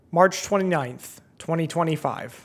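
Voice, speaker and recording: A man talks fairly quickly in an ordinary speaking voice with fairly even intonation. The recording is very clean, with a silent background. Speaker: competitive video game player. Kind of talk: video essay narration.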